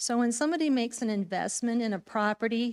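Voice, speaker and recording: Recorded very cleanly against a silent background, this woman has an unremarkable speaking voice, keeping a moderate pace and fairly even intonation. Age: 60s. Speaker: public commenter at town council. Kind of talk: public comment speech.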